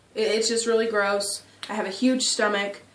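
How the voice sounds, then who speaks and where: Against noticeable background noise and audible room echo, a woman speaks at a moderate pace in a fairly high, monotone, flat voice. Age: 20s. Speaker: vlogger. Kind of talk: personal video diary. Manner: hesitant, many fillers.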